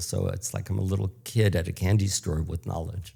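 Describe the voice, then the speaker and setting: With an American accent, a man speaks very fast in a fairly low, dark, mellow voice that is somewhat breathy, keeping his intonation fairly even. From United States. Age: 70s. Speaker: public speaking coach. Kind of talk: interview.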